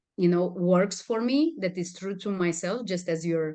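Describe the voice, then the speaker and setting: Her tone dark and mellow, a woman with a Romanian accent speaks at a moderate pace and medium pitch with ordinary pitch variation. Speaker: communication and stress management trainer. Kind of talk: interview.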